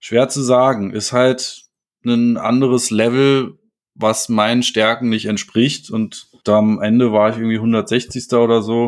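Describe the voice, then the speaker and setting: Recorded very cleanly against a silent background, a man talks at a medium pitch with flat, monotone intonation. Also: fairly slow pace. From Germany, Berlin-Potsdam area. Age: 20s. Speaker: disc golf player. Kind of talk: casual interview.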